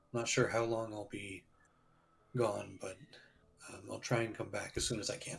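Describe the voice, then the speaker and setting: At a moderate pace and medium pitch, a man does a raspy put-on character voice, leaving long, frequent pauses. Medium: actual play. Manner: hesitant, halting.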